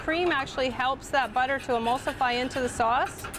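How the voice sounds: Over clear background noise, a woman with a high-pitched voice talks at a fairly quick pace.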